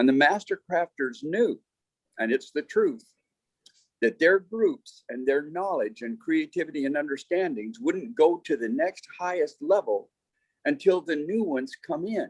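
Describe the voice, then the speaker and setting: The man's voice is high-pitched and moves in very wide pitch swings. He talks at a fairly slow pace, and the sound is dry and close with no echo. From United States. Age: 70s. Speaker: health and wellness teacher. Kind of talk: interview.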